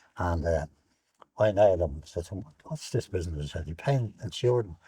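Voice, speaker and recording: In a very clean recording with a silent background, a man with an Irish accent speaks in a very deep, low voice with a dark, mellow tone, somewhat breathy and with big swings in loudness. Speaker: war veteran. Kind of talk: interview. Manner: halting.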